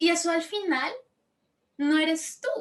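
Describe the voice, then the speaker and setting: A woman speaks with fairly even intonation. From Colombia. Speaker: coach. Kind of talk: live panel discussion. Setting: live online session. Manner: halting.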